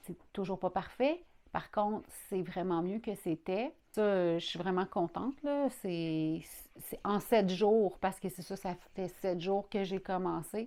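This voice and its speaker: In a very clean recording with a silent background, a woman with a Quebec accent speaks at a very slow pace, her medium pitch, dark, mellow tone and ordinary pitch variation all clear. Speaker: vlogger. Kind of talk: personal video diary. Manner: casual, hesitant with fillers.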